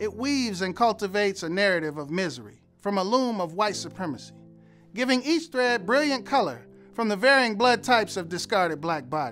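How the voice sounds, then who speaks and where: Over music in the background, a high-pitched man speaks at a moderate pace with very wide pitch swings. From Detroit. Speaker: homicide detective and poet. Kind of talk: spoken word poetry performance.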